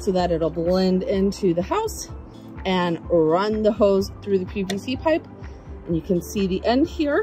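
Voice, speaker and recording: Clear background music behind a woman's voice. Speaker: home DIY blogger. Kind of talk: tutorial. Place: garden. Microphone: phone near.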